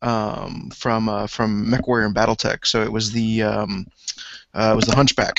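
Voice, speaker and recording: A man's fairly low voice at a moderate pace, monotone and flat in intonation. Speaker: guest hobby painter. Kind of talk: casual panel discussion. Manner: hesitant, many fillers.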